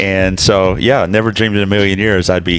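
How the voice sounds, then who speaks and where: Over noticeable background noise, a man with an American accent and a very deep, low pitch talks fairly quickly with fairly even intonation. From US South, Alabama. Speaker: pastor. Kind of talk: casual interview chat.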